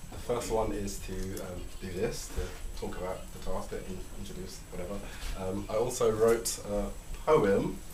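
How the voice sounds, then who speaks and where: Speaking at a moderate pace, a man is heard amid noticeable background noise and audible room echo. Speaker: party guest giving a speech. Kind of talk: speech to party audience. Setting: birthday party at a home. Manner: halting.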